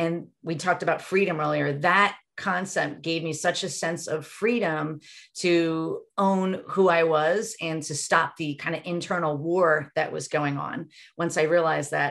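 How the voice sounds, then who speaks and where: In a very clean recording with a silent background, a woman with an ordinary speaking voice talks at a fairly low pitch with fairly even intonation. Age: 50s. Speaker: relationship coach. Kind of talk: casual interview chat.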